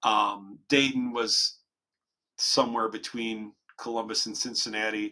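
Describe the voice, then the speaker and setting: Speaking with an American accent, a man keeps to a medium pitch. His intonation is monotone and flat, and his pace is fairly slow. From Ohio (Toledo). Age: 50s. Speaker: skateboarder and skatepark advocate. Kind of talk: casual interview chat. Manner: halting, many fillers and repeats.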